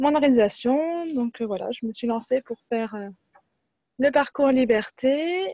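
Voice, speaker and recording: Dark and mellow in tone, a woman talks at a fairly slow pace with a high pitch and ordinary pitch variation, recorded dry and close with no echo. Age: 30s. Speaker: workshop participant. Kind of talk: testimony. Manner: stumbles over words.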